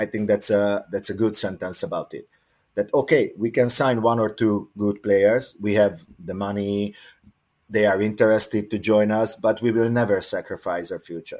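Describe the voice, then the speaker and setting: With a Hungarian accent, a man speaks at a moderate pace in a fairly low pitch with fairly even intonation, on a very clean recording with a silent background. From Hungary. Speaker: water polo coach. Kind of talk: podcast interview. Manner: halting.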